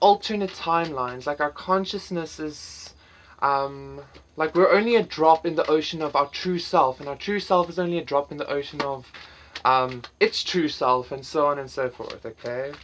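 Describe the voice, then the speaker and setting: At a moderate pace, a woman speaks in a very deep, low pitch with lively intonation. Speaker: tarot reader. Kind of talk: pick-a-card tarot reading. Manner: halting, many fillers and repetitions.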